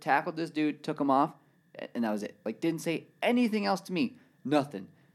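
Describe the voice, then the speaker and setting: A plain, everyday voice from a man with an American accent, lively intonation and a fairly quick pace, on a very clean recording with a silent background. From California. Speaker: professional scooter rider. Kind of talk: casual chat. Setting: studio.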